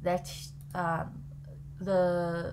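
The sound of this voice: A woman with a fairly low pitch speaks very slowly in a monotone, flat intonation.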